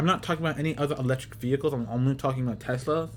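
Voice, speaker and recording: Background music accompanies a man's voice. His pitch sits fairly high, with ordinary variation. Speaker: gaming YouTuber. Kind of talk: casual commentary. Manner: rambling, repetitive phrasing; fast.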